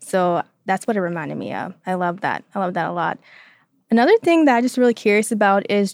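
At a fairly quick pace, the voice shows ordinary pitch variation in a dry, close sound with no echo. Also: woman. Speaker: marketing intern, guest co-host. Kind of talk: interview questions. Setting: studio. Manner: calm.

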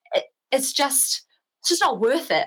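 Fairly quick speech from a woman with a New Zealand accent. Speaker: bike traveller. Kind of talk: casual chat.

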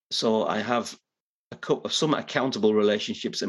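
A man speaks with a Teesside accent. His pace is moderate. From northeast England (Middlesbrough). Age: 50s. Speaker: professional speaker and author. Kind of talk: interview conversation. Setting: video call.

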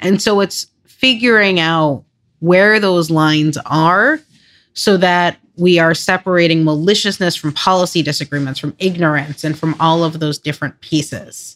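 Speaking with a slight New York accent, a woman with a fairly low pitch keeps a moderate pace and ordinary pitch variation on a very clean recording with a silent background. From Long Island, New York. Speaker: nonprofit CEO. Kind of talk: interview.

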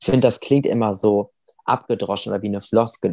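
With a plain, everyday voice, a man speaks at a fairly low pitch and ordinary pitch variation. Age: 20s. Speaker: amputee sharing his weight-loss story. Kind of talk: interview.

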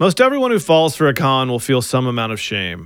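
In a very clean recording with a silent background, a man with an ordinary speaking voice and a fairly high pitch talks at a fairly quick pace. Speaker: podcast host narrator. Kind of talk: scripted narration with interviews.

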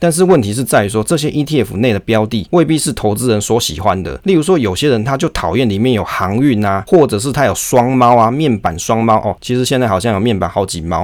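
A man's fairly low voice at a fairly quick pace, with lively intonation. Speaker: finance podcast host. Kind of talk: book review monologue.

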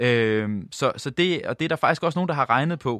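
A man speaks at a moderate pace with ordinary pitch variation. The sound is dry and close with no echo, over a quiet background. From Jutland, Denmark. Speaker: doctor and researcher. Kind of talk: interview. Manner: halting.

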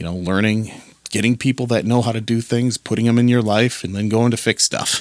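A man's unremarkable speaking voice, fairly low in pitch and fairly quick, with a dry, close sound and no echo. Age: 40s. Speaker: podcast host. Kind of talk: solo podcast monologue. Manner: casual, with frequent fillers and repetitions.

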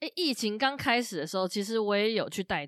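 The speaker has a normal speaking voice and lively intonation. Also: woman. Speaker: tour leader and podcast co-host. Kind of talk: casual chat.

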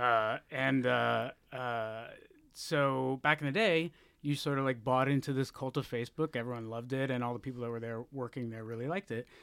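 Here is a plain, everyday voice with an American accent. It moves at a moderate pace with fairly even intonation. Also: man, medium pitch for a man. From Texas. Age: 30s. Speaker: journalist. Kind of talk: interview.

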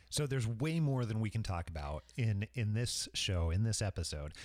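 A man with an ordinary speaking voice talks at a fairly quick pace, his pitch fairly low and his intonation lively. The recording is very clean, with a silent background. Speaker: podcast host. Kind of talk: casual travel chat.

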